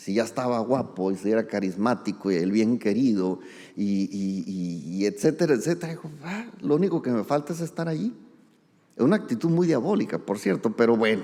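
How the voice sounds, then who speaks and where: A man at a moderate pace, his pitch swinging very widely. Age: 60s. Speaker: pastor. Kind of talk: sermon. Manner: conversational.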